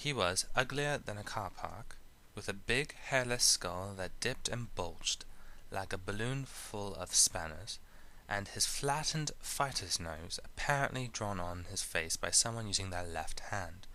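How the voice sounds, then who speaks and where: With an American accent, a man in a normal speaking voice talks at a fairly low pitch and fairly slow pace, using lively intonation. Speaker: amateur audiobook narrator. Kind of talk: audiobook reading.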